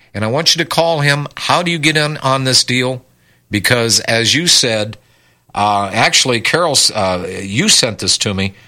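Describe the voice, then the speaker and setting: Using a normal speaking voice, a man talks at medium pitch and a moderate pace with lively intonation. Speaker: radio host. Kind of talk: radio talk show.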